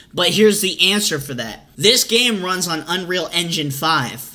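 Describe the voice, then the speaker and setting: A man's raised, projected voice with a bright, sharp tone at a moderate pace. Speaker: gaming streamer. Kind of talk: reaction commentary. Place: home room.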